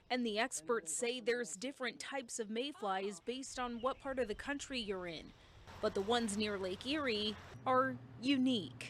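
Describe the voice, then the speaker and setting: An unremarkable speaking voice from a woman, fairly high in pitch, moderate in pace, with ordinary pitch variation. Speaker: TV news reporter. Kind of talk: TV news package narration.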